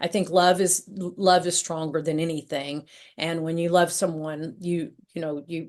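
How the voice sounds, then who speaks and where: Against a quiet background, a woman talks in a fairly low voice with fairly even intonation. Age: 60s. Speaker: author and entrepreneur sharing a DNA discovery story. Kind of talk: podcast interview, personal testimony. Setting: podcast interview. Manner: repetitive, halting restarts.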